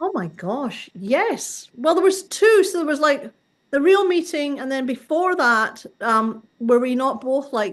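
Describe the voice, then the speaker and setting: With a Scottish accent, a woman speaks at a high pitch and a fairly slow pace, her pitch swinging very widely. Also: quiet background. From Scotland, Glasgow. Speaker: artist and workshop organizer. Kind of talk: interview.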